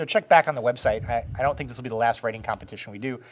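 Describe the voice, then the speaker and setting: This man talks in an animated tone. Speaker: podcast co-host. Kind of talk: casual chat. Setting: cat cafe. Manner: joking, animated.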